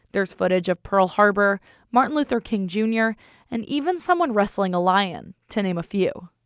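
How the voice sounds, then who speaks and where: An unremarkable speaking voice from a woman at medium pitch, moderate pace and ordinary pitch variation, with a dry, close sound and no echo. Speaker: radio reporter. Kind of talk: public radio news reporting.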